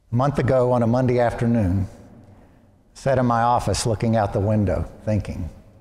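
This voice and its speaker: A man with an American accent, medium pitch, a dark, mellow tone and fairly even intonation, at a moderate pace with hardly any pauses, plus audible room echo. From US South, Arkansas (Little Rock). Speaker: priest. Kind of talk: sermon.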